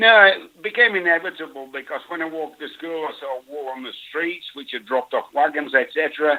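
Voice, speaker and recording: A man with a Yorkshire accent, fairly high in pitch, at a fairly quick pace, with ordinary pitch variation and big swings in loudness. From northern England, near Bradford, Yorkshire. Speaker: wool industry expert. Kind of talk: interview.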